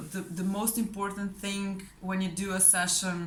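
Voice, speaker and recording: With a non-native accent, a woman speaks at a medium pitch amid audible room echo. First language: not English. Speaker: client giving a testimonial, fellow hypnosis practitioner. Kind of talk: testimonial. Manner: hesitant, many fillers and repetitions.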